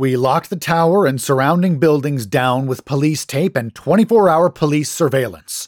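Recorded very cleanly against a silent background, a man speaks at a moderate pace in a fairly high pitch with ordinary pitch variation and a dry, close sound with no echo. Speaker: horror story narrator. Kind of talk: dramatic horror narration, reading a story aloud. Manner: theatrical, spooky, dramatic.

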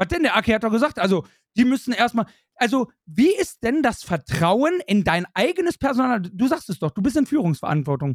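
The delivery is fairly quick, with very wide pitch swings. The sound is dry and close, with no echo. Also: man, extremely high pitch for a man. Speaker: football podcast host. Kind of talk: casual chat. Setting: live video stream.

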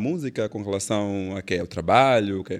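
Fairly low-pitched male speech, very cleanly recorded with a silent background. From Angola, Benguela. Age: young. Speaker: gospel singer and songwriter. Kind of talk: casual interview.

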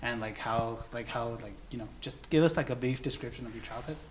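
A man at a very fast pace with medium pitch, amid noticeable background noise. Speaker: youth service host. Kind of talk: church youth service. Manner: casual, filler-heavy.

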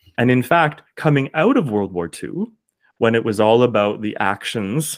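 In a very clean recording with a silent background, a man uses an ordinary speaking voice at a medium pitch, with a moderate pace and ordinary pitch variation. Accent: Canadian. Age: 30s. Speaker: teacher and singer-performer. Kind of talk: casual interview conversation.

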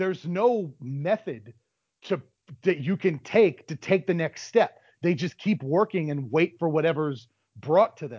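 A fairly high-pitched man with an ordinary speaking voice, lively intonation and big swings in loudness. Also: fairly slow pace. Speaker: wrestling podcast host. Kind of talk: casual banter about pro wrestling.

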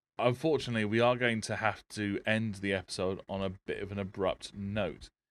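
A man with an English accent speaks at a fairly low pitch, varying it in an ordinary way. The sound is dry and close with no echo. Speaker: podcast host. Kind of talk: casual chat. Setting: live stream with Skype call.

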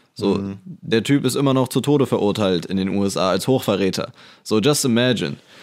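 A man's fairly low voice with lively intonation, a plain, everyday voice, comes through on a very clean recording with a silent background. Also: fairly quick pace. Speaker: computer science student. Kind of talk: casual chat.

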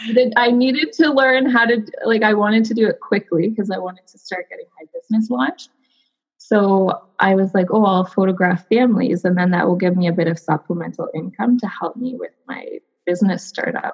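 A woman in a Canadian accent speaks at a fairly high pitch and a fairly quick pace, somewhat breathy. Her intonation is lively and her loudness swings widely. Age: 30s. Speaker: textile designer. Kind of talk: casual chat. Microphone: connection freezing.

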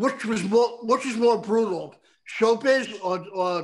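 A man's high voice at a fairly slow pace. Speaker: podcast host. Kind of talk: casual chat. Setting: video call. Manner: animated.

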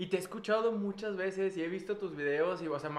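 Very fast and high-pitched, a man talks with ordinary pitch variation. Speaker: microbiologist, former student of co-host. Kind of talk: casual chat. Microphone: echo in the room.

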